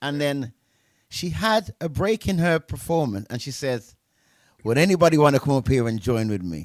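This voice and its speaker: A man with very wide pitch swings and an animated tone at a moderate pace, in a very clean recording with a silent background and a dry, close sound with no echo. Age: 60s. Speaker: DJ and music show host. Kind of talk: casual interview chat.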